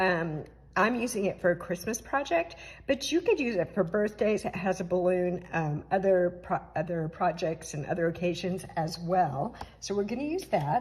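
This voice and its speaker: Ordinary pitch variation shapes the somewhat breathy voice of a woman. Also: medium pitch for a woman, moderate pace. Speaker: papercraft demonstrator. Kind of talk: tutorial. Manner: casual, with fillers.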